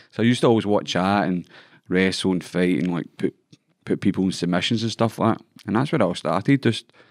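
Over a quiet background, a man with a Scottish accent talks at a very fast pace. His pitch is fairly low, with ordinary variation. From Scotland. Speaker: MMA fighter. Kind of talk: casual chat. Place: studio. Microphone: studio mic.

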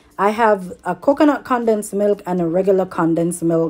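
A woman speaks at a moderate pace with ordinary pitch variation, faint music playing in the background. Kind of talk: tutorial. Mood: relaxed, cheerful. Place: kitchen. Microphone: phone near.

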